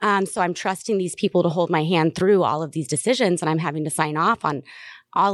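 A plain, everyday voice from a woman with an American accent, fairly low pitch, ordinary pitch variation and a fairly quick pace, on a very clean recording with a silent background. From US South. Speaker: cannabis advocate, mother of cancer patient. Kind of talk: interview. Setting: convention center.

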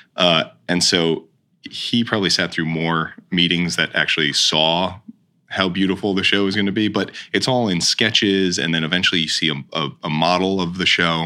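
At a moderate pace, a man with a very deep, low pitch and a bright, sharp tone keeps very even loudness and fairly even intonation. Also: very clean recording, silent background. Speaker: stage manager. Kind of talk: casual interview chat.

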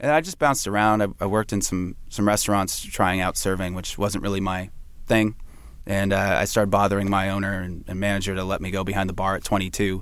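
Fairly low in pitch, a man rushes along at a very fast pace while his intonation stays fairly even. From San Francisco Bay Area. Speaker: bartender and bar manager. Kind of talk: casual interview. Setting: studio. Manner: halting, many fillers and restarts.

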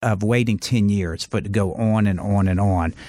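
A plain, everyday voice at a moderate pace, ordinary pitch variation, dry, close sound with no echo, very clean recording with a silent background. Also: man. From US South, Charleston, South Carolina. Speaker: lawyer and former TV judge. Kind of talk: casual interview.

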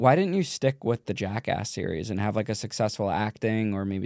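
This is an unremarkable speaking voice, a man's with fairly low pitch, at a fairly quick pace. The sound is dry and close, with no echo. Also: very clean recording, silent background. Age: 20s. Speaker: podcast host. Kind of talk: casual interview.

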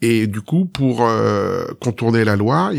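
In a very clean recording with a silent background, a man uses a normal speaking voice at a fairly low pitch with ordinary pitch variation. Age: 50s. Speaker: magician. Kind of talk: podcast interview.

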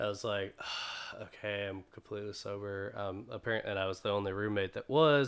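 Here is a man with an American accent and an ordinary speaking voice. He speaks at a moderate pace in a fairly low pitch. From North Carolina, Greensboro. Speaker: clothing company owner. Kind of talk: casual chat.

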